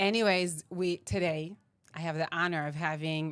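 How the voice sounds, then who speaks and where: In a very clean recording with a silent background, a woman speaks with an Israeli accent. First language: Hebrew. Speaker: podcast host. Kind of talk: casual interview.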